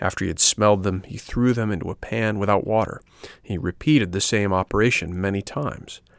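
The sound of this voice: Here is an unforced reading voice. The text is read aloud plainly.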